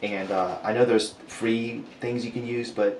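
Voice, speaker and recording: A man's medium-pitched, monotone, flat voice, with audible room echo and noticeable background noise. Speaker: polymer clay sculptor and YouTuber. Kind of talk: live stream casual chat while sculpting. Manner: casual, chatty with fillers.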